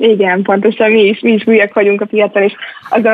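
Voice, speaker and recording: Fairly quick speech comes from a woman at a medium pitch. It's an ordinary speaking voice with fairly even intonation. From Hungary, Budapest. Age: young. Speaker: venture capital investor. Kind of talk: radio interview.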